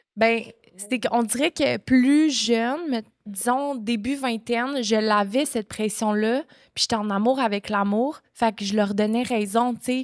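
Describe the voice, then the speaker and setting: This woman has a normal speaking voice, fairly high in pitch with ordinary pitch variation, at a fairly slow pace. The recording is very clean, with a silent background. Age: 20s. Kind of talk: podcast guest conversation.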